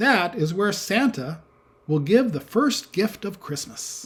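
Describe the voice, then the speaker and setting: Speaking at a fairly slow pace, a man adopts a put-on character voice with a high pitch. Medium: read story. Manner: brisk, authoritative.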